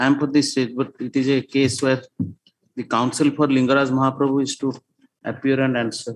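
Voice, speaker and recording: A man speaks at a moderate pace in a monotone, flat intonation. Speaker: government lawyer. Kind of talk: court hearing argument.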